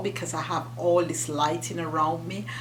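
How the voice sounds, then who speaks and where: Over noticeable background noise and audible room echo, a woman with a Jamaican accent speaks at a moderate pace in a very deep, low voice with lively intonation. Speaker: YouTuber. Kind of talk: casual chat.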